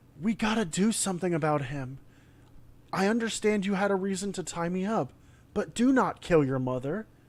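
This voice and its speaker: Pitched in the middle range, a put-on character voice speaks at a moderate pace on a very clean recording with a silent background. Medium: read story.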